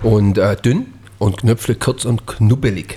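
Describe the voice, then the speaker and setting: Intonation stays fairly level in this somewhat breathy voice. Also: man. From Swabian Jura, Germany. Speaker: chef, podcast co-host. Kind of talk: casual chat.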